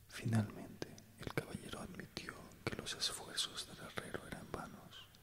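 A man whispers at a moderate pace. He is soft-spoken. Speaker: storyteller. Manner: soft close-mic whispered reading. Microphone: studio mic.

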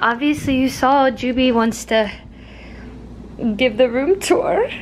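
There is light background noise as a woman speaks at a very slow pace. Her pitch varies in an ordinary way. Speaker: vlogger. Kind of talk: casual vlog chat. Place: home room.

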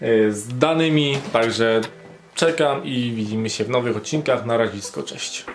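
Man at a moderate pace, fairly even intonation, light background noise. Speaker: vlogger announcing giveaway winners. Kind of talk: casual vlog chat. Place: home room. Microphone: phone near.

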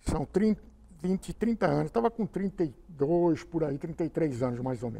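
A man with a dark, mellow tone speaks at a very slow pace. His intonation is lively. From Cubatão, São Paulo state, Brazil; São Paulo state, Brazil. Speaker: retired politician and lawyer; council interviewee. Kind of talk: interview; interview answer. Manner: halting, with false starts. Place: meeting room. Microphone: lapel.

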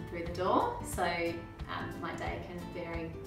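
Clear music plays in the background as a woman speaks amid audible room echo. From Melbourne, Australia. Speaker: osteopath. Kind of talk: interview answer. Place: office. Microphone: camera far.

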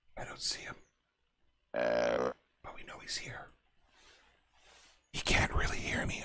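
Putting on a raspy character voice, a man speaks at a moderate pace. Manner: whispering.

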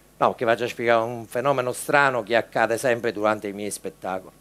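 A man's speech carries ordinary pitch variation and moves fairly quickly. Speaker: stage comedian. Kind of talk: stand-up comedy monologue. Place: stage.

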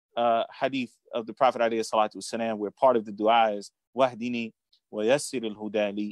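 Recorded against a quiet background, a man's voice comes across dry, with no echo. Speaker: religious teacher, interview guest. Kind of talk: interview answer. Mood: calm, reflective. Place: home room. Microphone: video call.

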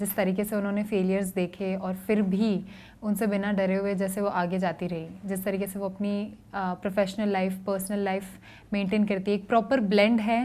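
A woman speaks at a medium pitch with a dark, mellow tone. Her delivery is fairly slow, with monotone, flat intonation. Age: 20s. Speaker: beauty pageant winner. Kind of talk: interview. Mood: calm, composed. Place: hall.

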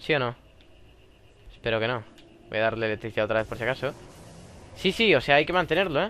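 With long, frequent pauses breaking up his very fast delivery, a man speaks at a medium pitch in a bright, sharp tone with lively intonation. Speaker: gaming youtuber. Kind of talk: gameplay commentary. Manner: animated.

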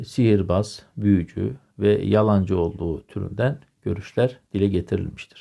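Slow to a great degree, a man with a fairly low pitch and a dark, mellow tone speaks with lively intonation. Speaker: history video lecturer. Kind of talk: lecture. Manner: hesitant, many filler sounds. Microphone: new microphone.

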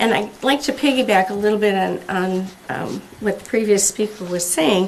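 The intonation is lively. Noticeable background noise and audible room echo fill the recording. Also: woman. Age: 70s. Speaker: resident giving public comment. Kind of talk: public comment at council meeting. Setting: city council meeting. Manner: halting.

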